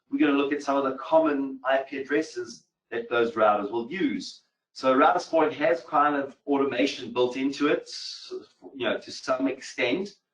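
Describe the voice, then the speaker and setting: Using an American accent, a man talks at a moderate pace and fairly high pitch, with ordinary pitch variation. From mixed, grew up in several countries. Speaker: cybersecurity instructor. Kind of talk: technical webinar tutorial.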